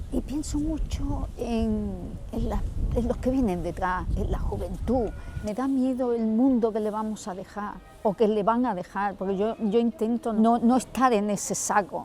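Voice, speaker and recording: Over music in the background, a woman talks at a fairly slow pace with ordinary pitch variation. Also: fairly high pitch for a woman. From Andalusia, Huelva province. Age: 60s. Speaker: interviewee, local resident. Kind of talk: interview. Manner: halting, with repetitions.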